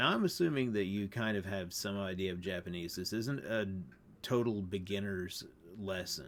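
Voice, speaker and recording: A man speaks with a plain, everyday voice. His pitch is fairly low and varies in an ordinary way. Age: 40s. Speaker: language teacher. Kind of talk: tutorial. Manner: casual.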